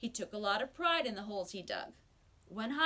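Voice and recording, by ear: Someone reads aloud naturally, the intonation rising and falling in a lively way.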